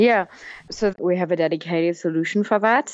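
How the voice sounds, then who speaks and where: A woman with a German accent and a fairly low pitch. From Germany. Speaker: business development manager. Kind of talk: interview.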